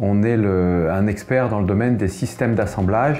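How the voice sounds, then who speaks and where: Music sits in the background. A man speaks with ordinary pitch variation. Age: 60s. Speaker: business executive. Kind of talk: interview testimony. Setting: interview at an event. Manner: halting, with repetitions and hesitations.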